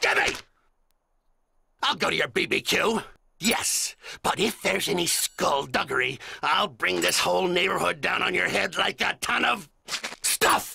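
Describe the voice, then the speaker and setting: With long, frequent pauses and very even loudness, a man speaks in a raspy, high voice. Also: moderate pace. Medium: comedy sketch. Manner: ranting, suspicious, shouty.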